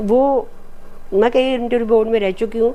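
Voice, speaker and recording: A woman speaks with a Marathi accent. Her tone is dark and mellow. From Madhya Pradesh, India. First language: Marathi (speaking Hindi). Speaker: retired defence scientist. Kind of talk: interview conversation.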